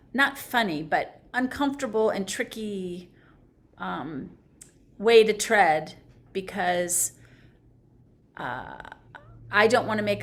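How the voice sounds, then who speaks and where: A woman is speaking. Her voice has vocal fry. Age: 60s. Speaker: conversation participant. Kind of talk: reflective conversation. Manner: halting.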